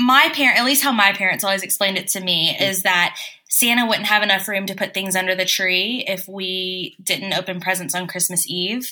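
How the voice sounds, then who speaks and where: This woman talks at a fairly quick pace with hardly any pauses, in an American accent. She has a plain, everyday voice, medium in pitch, with ordinary pitch variation. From US South. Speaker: podcast co-host. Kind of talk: casual chat.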